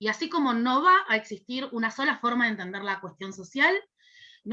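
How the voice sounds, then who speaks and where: A woman with a fairly high pitch and a bright, sharp tone talks at a fairly quick pace with lively intonation. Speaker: university lecturer in social work. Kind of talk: lecture. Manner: hesitant fillers.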